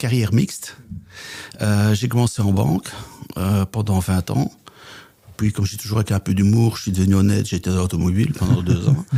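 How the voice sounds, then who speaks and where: Amid noticeable background noise, a man with a Belgian accent talks at a fairly quick pace with long, frequent pauses, in a fairly low pitch with ordinary pitch variation and very even loudness. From Belgium, Flemish Brabant. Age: 60s. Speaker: business coach and trainer. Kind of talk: podcast interview.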